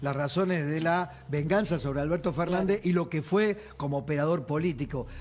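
A man talks at a moderate pace with hardly any pauses, his fairly high pitch showing ordinary variation over light background noise. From Argentina. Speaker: TV news host. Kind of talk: TV panel interview. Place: studio. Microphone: lapel.

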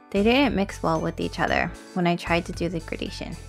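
With music in the background, this woman talks at a moderate pace. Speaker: art channel creator. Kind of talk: casual art tutorial narration. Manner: quiet, low volume.

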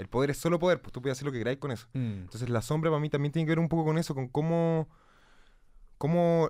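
Lively intonation marks this man's fairly high voice, in a Chilean accent. The background stays quiet. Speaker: musician. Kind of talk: casual chat. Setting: studio. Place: studio. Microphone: studio mic.

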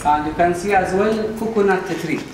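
With audible room echo around him, a man speaks at a fairly quick pace, with a high pitch and ordinary pitch variation.

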